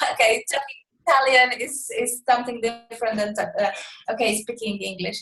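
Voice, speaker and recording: A woman speaks in a high voice. Her pace is fairly quick. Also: fairly even intonation. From Poland. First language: Polish. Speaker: coaching program member. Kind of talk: self-introduction on group call. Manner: halting.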